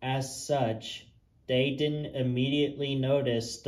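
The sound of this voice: The clip features an unforced reading voice. It carries throughout.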